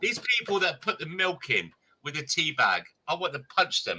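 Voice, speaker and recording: A man with an English accent speaks at a moderate pace. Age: 50s. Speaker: live streamer. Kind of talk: casual chat.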